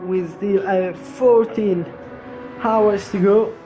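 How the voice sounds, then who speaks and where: Over music in the background, a man talks at a very slow pace, with audible room echo. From Italy. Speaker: sim racing commentator. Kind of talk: live commentary.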